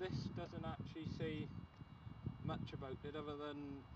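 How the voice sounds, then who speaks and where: Loud background noise surrounds a man whose voice has a dry sound with no echo. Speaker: urban explorer vlogger. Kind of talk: casual vlog chat. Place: open country. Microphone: camera far.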